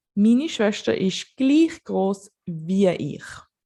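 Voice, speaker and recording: Speaking in a Basel accent, a woman has a dark, mellow tone and very wide pitch swings. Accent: Swiss German (Basel) accent in English. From Switzerland, Basel. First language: Swiss German. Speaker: language teacher. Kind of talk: tutorial. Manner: casual, conversational.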